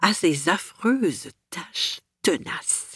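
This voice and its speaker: Over a very clean, silent background, a woman speaks in a somewhat breathy voice. Her pitch swings very widely. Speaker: radio host. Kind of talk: radio show hosting.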